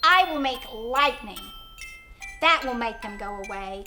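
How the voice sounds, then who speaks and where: Putting on a character voice, a woman speaks high and at a fairly slow pace. Music is clearly heard in the background. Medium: read story. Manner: clucking, boastful.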